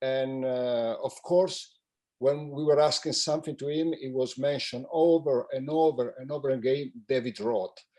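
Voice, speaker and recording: Speaking at a moderate pace, a man with a fairly high voice uses a dark, mellow tone and fairly even intonation. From Italy. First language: Italian. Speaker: magician. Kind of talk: memorial tribute. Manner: halting.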